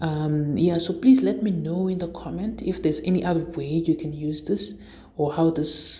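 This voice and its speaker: In a room with audible echo, a woman speaks at a moderate pace in a dark, mellow, somewhat breathy tone, with a fairly low pitch and ordinary pitch variation. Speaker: programming tutorial creator. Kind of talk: tutorial. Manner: hesitant, many fillers.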